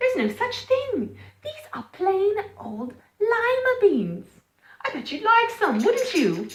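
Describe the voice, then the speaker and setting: A woman does a put-on character voice at an extremely high pitch. Her tone is gentle, with big swings in loudness. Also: fairly slow pace. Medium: read story. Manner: kind, gentle, bright.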